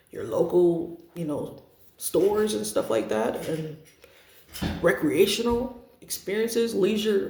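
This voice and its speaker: With audible room echo around him, a man in a high voice talks at a fairly slow pace through very wide pitch swings and long, frequent pauses. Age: 30s. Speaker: parent vlogger sharing family experience. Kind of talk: personal testimony to camera. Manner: hesitant, with frequent fillers.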